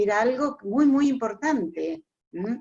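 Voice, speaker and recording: Speaking at a fairly slow pace with lively intonation, a woman uses a fairly high voice with an Argentine accent. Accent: Argentine Spanish (Rioplatense). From Argentina, Bahía Blanca. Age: 70s. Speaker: retired teacher, class attendee. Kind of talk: question from audience.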